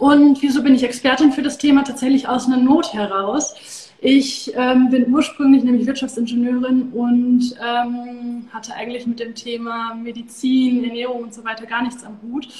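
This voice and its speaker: Noticeable background noise sits under a monotone, flat delivery that has big swings in loudness and hardly any pauses. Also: woman, high pitch for a woman, moderate pace. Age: 30s. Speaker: Ayurveda coach and yoga teacher. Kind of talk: interview.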